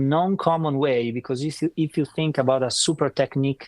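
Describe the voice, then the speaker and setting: A man speaks with an Italian accent and ordinary pitch variation. The background is quiet. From northern Italy. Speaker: saxophone player. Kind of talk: interview. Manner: halting; talkative.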